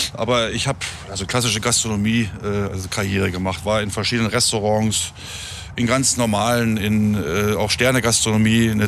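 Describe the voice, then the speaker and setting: Amid noticeable background noise and audible room echo, a man with a fairly low pitch talks at a moderate pace with fairly even intonation. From northern Germany, near Hameln. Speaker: hospitality professional. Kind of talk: casual interview. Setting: outdoors near an airport.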